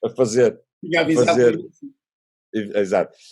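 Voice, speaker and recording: A man's dark, mellow tone in a European Portuguese accent. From Portugal. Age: 50s. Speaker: musician. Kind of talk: interview answer. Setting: remote call.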